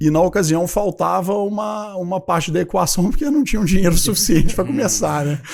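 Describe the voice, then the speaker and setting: A man with a Minas Gerais accent, high pitch and lively intonation, hardly any pauses, over noticeable background noise. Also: fairly quick pace. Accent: Minas Gerais accent, still noticeable. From Minas Gerais, Brazil. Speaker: company founder, entrepreneur. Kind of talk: podcast interview. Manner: casual, with fillers.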